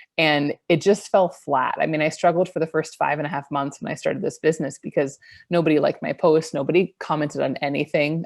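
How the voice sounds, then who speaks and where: A woman with an American accent speaks fairly quickly in a calm tone at a very deep, low pitch. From Idaho, US. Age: 30s. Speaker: online business coach. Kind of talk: interview.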